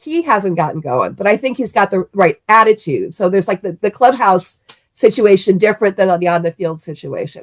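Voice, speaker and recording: In an American accent, a woman with an unremarkable speaking voice and medium pitch talks at a fairly quick pace with lively intonation, the sound dry and close with no echo. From Cleveland, Ohio. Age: 60s. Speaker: sports fan guest. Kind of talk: casual sports chat.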